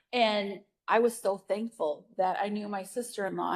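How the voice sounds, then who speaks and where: A woman with an unremarkable speaking voice at a medium pitch talks at a fairly slow pace. Her intonation stays fairly even, and the recording is very clean with a silent background. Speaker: parenting educator. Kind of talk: virtual presentation; Q&A answer.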